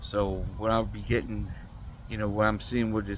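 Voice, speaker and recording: A man speaks at a moderate pace with a fairly low pitch. There is audible echo from the room. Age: 60s. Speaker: vlogger. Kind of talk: casual monologue.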